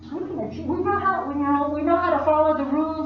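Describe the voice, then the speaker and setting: A woman speaks in a Southwestern US accent. Noticeable noise sits in the background. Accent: Navajo-accented English. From Navajo, Arizona. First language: Navajo. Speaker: poet and storyteller. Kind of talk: personal storytelling to live audience.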